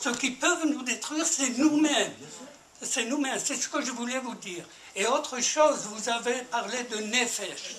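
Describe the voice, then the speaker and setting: Over noticeable background noise and audible room echo, a man with an extremely high pitch uses a raised, projected voice at a fairly slow pace with ordinary pitch variation. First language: Spanish (speaking French). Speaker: audience member, war veteran. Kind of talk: audience question. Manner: halting.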